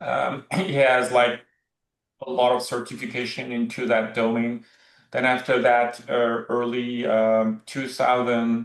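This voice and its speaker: Man with a French accent, medium pitch, fairly slow pace, monotone and flat intonation. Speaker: movement specialist. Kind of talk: podcast discussion. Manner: halting.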